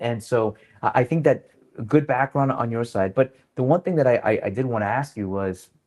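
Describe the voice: A man speaks at a fairly low pitch with ordinary pitch variation. His pace is fairly quick, and his tone is slightly mellow.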